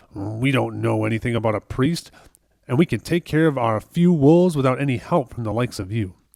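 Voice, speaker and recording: A man growls in a gruff, put-on character voice at a medium pitch and a fairly quick pace. His intonation is lively, and the sound is dry and close with no echo. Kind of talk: hostile, dismissive. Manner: growling, gruff.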